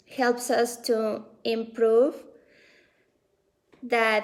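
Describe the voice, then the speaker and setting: A woman in a Spanish accent, very slow, fairly high-pitched, monotone and flat. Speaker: belly dance studio director. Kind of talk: casual talk to camera on a live stream. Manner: hesitant, with many fillers.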